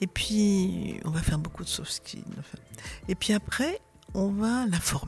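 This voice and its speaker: Over background music, a woman with a medium pitch speaks at a very slow pace, with ordinary pitch variation and long, frequent pauses. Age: 70s. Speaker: charity founder. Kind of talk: interview. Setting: charity centre. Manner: halting.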